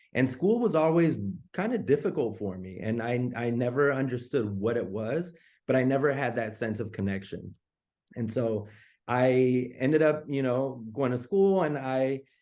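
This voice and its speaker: A man speaks with a dark, mellow tone and lively intonation. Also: medium pitch for a man, moderate pace. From US West Coast, East Oakland, California. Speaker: assistant principal. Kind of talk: personal story told to parents on a call. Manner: halting, with many fillers and repeats.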